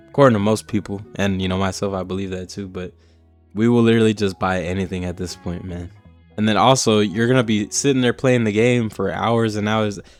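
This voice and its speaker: Over music in the background, a man talks in a fairly low pitch with fairly even intonation. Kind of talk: casual rant to camera. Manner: casual, ranting.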